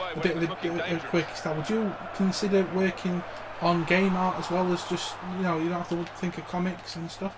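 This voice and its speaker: Audible room echo and noticeable background noise surround a man with a British accent. His high pitch stays in monotone, flat intonation. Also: fairly quick pace. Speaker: gaming YouTuber. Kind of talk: casual interview. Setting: home recording. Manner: stuttering.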